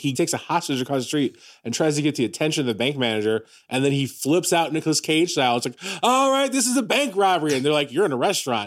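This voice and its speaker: Animated in tone, a man with a fairly high voice speaks very fast. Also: lively intonation. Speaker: podcast co-host. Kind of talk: casual comedic chat. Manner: animated, joking.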